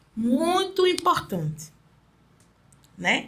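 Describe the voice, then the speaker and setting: At a very slow pace, a woman speaks in a bright, sharp tone. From Recife, northeast Brazil. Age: 40s. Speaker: street vendor and activist. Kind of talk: interview.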